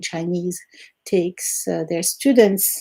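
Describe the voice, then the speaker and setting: The voice has a dark, mellow tone and ordinary pitch variation, moving at a fairly slow pace. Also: woman. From Algeria. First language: Arabic and French. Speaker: retired language teacher. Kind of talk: interview. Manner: hesitant with fillers.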